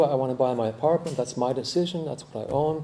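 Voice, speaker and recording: Audible room echo surrounds a man talking. His pace is fairly quick, with ordinary pitch variation. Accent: American. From United States. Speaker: architect and urbanist. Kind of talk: conference talk. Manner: halting, many repetitions and fillers.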